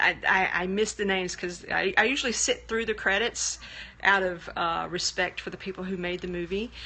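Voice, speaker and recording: A woman talks with a Southern US accent. Her pace is fairly quick. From US South, Birmingham, Alabama. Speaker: livestreamer and programmer. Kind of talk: casual live stream chat. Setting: live video stream.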